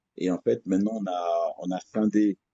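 A man's fairly low voice at a very slow pace. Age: 50s. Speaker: MMA coach. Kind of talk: interview. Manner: hesitant, many fillers.

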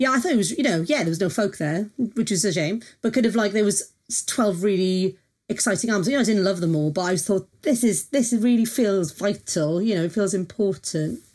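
In a South Welsh accent, a woman talks at a fairly quick pace with lively intonation, medium pitch and very even loudness, on a very clean recording with a silent background. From South Wales. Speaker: music journalist and critic. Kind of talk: casual interview chat.

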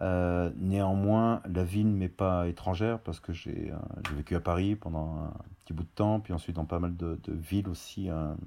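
Here a man speaks at a fairly slow pace in a very deep, low voice. His tone is dark and mellow, with ordinary pitch variation. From Auvergne, France. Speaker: spice brand founder. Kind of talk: interview.

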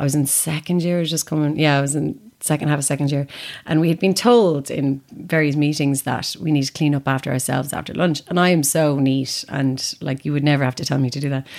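This woman has an Irish accent and a very deep, low pitch. She talks at a fairly quick pace. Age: 30s. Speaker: actor and writer. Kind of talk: casual chat. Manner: animated.

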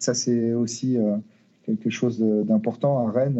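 A man is talking. His voice has a medium pitch. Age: 40s. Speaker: football team manager. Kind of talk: interview. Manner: halting, with repetitions and hesitations.

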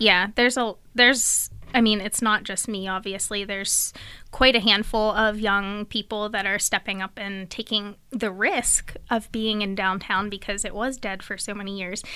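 A woman's bright, sharp, monotone voice at medium pitch and a moderate pace, flat in intonation, with an American accent. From central Pennsylvania (Bellwood). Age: 20s. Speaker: coffee shop and pottery business owner. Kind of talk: casual interview.

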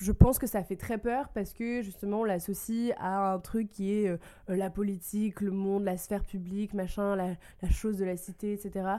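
A woman's medium-pitched voice with a dark, mellow tone, fairly slow pace and monotone, flat intonation on a very clean recording with a silent background. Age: 20s. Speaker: advocacy officer. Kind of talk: casual chat.

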